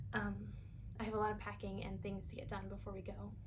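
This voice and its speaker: A woman talks at a very fast pace with an American accent. The recording has audible room echo and noticeable background noise. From New York. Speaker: knitting vlogger. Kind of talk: casual chat.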